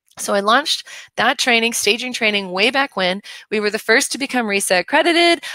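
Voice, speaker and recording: Recorded dry and close with no echo, a woman of fairly high pitch speaks in a bright, sharp and animated tone. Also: fairly quick pace. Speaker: home staging trainer and company president. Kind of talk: live webinar presentation. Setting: live stream webinar. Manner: fast.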